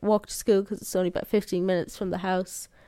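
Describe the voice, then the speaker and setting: A woman talks in an Irish accent. Her intonation is monotone and flat. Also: very clean recording, silent background. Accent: Irish (Sligo). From Ireland, County Sligo. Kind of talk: interview. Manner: passionate.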